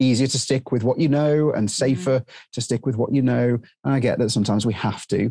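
In a British accent, a man speaks with a dark, mellow tone. His pitch varies in an ordinary way. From UK. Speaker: drone training business owner and former helicopter instructor. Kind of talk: interview. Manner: halting.

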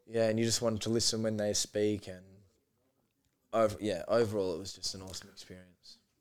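A man with an Australian accent talks at a fairly quick pace in a fairly low, monotone, flat voice. His loudness swings widely, and long, frequent pauses break up his speech. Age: 20s. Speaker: podcast guest. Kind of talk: casual chat.

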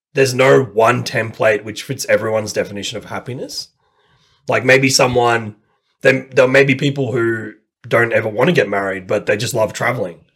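With an Australian accent, a man speaks at a moderate pace and a medium pitch. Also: fairly even intonation. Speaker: language learner. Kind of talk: casual chat.

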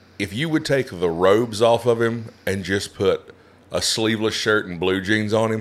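Here a man speaks at a fairly low pitch with ordinary pitch variation. He keeps a moderate pace. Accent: Appalachian. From West Virginia, Appalachia. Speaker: stand-up comedian. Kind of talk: casual chat.

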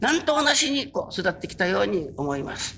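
A man talks very fast in a raised, projected voice. There is noticeable background noise. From Japan, Kyushu (Kurume, Fukuoka). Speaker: religious minister. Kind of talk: sermon. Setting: stage with audience.

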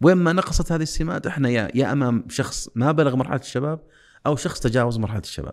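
On a very clean recording with a silent background, an unremarkable speaking voice moves at a fairly quick pace with lively intonation. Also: man. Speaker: engineer and youth development specialist. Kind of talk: interview.

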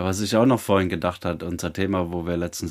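A man talks in a very deep, low pitch with monotone, flat intonation. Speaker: podcast co-host. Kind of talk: casual chat. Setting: online call, streamed. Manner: loud. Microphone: new microphone.

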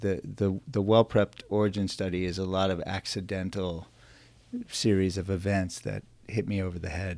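A plain, everyday voice from a man with an American accent, fairly low in pitch, fairly even in intonation, at a moderate pace. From New York suburbs and Canada. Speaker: physician entrepreneur. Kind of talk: interview.

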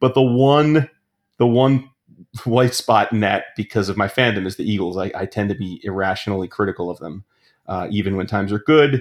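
In a plain, everyday voice, a man speaks at a fairly low pitch and a fairly quick pace with ordinary pitch variation. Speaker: fantasy football analyst. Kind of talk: casual interview chat.

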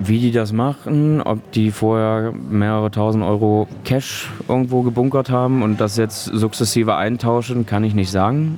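A man at medium pitch, moderate pace and ordinary pitch variation, with hardly any pauses, very even loudness and noticeable background noise. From Saxony-Anhalt, Germany (Köthen). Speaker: student. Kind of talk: interview. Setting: brewery pub. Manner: halting, many fillers.

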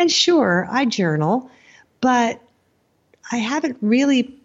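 With an American accent, a woman speaks somewhat breathily, her pitch swinging very widely. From United States. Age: 50s. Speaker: writer. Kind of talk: interview.

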